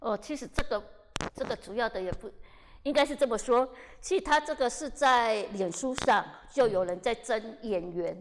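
Her intonation is lively and her voice sits high. She talks at a moderate pace. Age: 50s. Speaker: actress. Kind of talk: casual interview chat.

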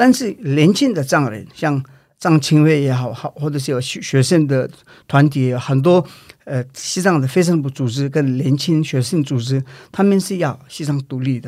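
With a Tibetan accent, a man talks at a moderate pace in a fairly high pitch with ordinary pitch variation. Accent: Tibetan accent in Mandarin. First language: Tibetan (speaking Chinese). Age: 40s. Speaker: Tibetan independence activist. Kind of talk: interview. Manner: halting.

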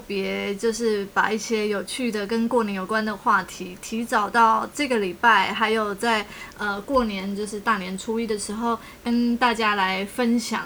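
A woman's fairly high voice in a Taiwanese accent, fairly slow yet with hardly any pauses, over noticeable background noise. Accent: Taiwanese Mandarin. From Taiwan, Tainan. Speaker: podcast host. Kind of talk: casual chat.

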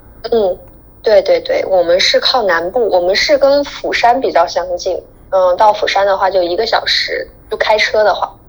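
Noticeable background noise and a moderate pace. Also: woman. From China. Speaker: guest living abroad. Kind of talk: casual chat.

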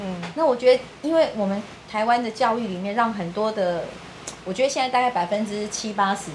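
Over noticeable background noise and audible room echo, a woman speaks. Her pitch is fairly high and her pace fairly quick. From Taiwan. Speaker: political party secretary-general. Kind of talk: interview.

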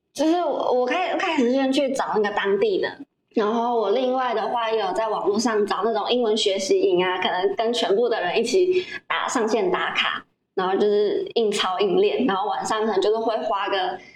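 A woman's fairly high voice moves through very wide pitch swings while its loudness stays very even. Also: moderate pace. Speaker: former overseas volunteer, video team member. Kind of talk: casual interview.

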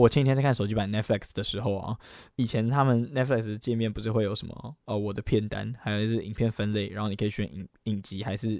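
A man's fairly low-pitched voice at a very fast pace. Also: very clean recording, silent background. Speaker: podcast host and YouTuber. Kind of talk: casual solo podcast talk. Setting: recording during a live game stream. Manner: animated.

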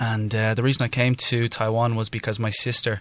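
The speaker uses monotone, flat intonation at a moderate pace in a Dublin accent. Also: man. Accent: Dublin Irish. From Ireland, Dublin. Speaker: non-profit co-founder. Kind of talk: interview.

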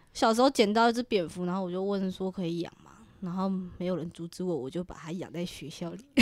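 A woman's animated voice at medium pitch, very fast, with ordinary pitch variation and big swings in loudness. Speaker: podcast co-host. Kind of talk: casual chat. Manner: animated, laughing often.

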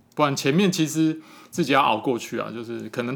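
Fairly high-pitched, bright and sharp male voice at a fairly quick pace, lively in intonation, on a very clean recording with a silent background. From Taipei, Taiwan. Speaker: children's picture book illustrator. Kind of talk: interview.

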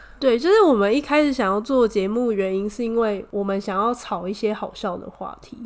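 A woman speaks in an animated tone with fairly high pitch, ordinary pitch variation, a fairly quick pace and big swings in loudness over noticeable background noise. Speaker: podcast co-host. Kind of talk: casual chat. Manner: animated, laughing often.

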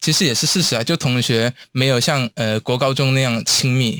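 A man speaks fairly slowly in a plain, everyday voice with medium pitch and fairly even intonation. The recording is very clean, dry and close, with no echo and a silent background. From Hong Kong. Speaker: university student. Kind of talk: interview.

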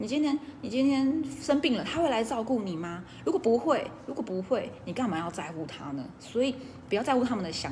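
A woman talks at a fairly quick clip, her pitch swinging very widely. Noticeable background noise runs under her voice. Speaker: direct-selling business coach. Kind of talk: casual livestream talk; sales pitch. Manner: relaxed.

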